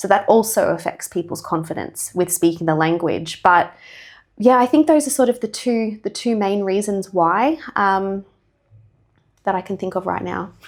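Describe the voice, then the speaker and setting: A woman with an Australian accent speaks at a moderate pace with lively intonation and a medium pitch, on a very clean recording with a silent background. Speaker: English teacher. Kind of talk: podcast interview.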